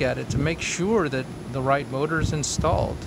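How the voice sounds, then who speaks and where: Noticeable background noise fills the clip. A man talks through it at a moderate pace. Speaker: homeowner video blogger. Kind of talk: casual video walkthrough.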